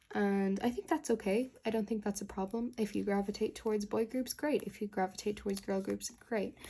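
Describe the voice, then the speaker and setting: Somewhat breathy and dark, mellow in tone, a woman speaks at a fairly high pitch and a fairly quick pace with fairly even intonation and hardly any pauses. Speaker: kpop collector vlogger. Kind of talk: casual vlog talk while resleeving cards.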